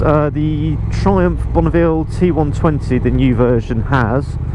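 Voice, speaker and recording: A man talks at a fairly slow pace. Noticeable background noise runs behind him. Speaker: motorcycle vlogger. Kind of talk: motorcycle ride review. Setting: riding a motorcycle outdoors. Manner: loud.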